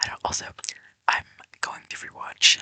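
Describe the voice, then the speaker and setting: A woman whispers at a moderate pace. The sound is dry and close, with no echo. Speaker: ASMR creator. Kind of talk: ASMR whispering. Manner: whispering. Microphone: mic quality issues.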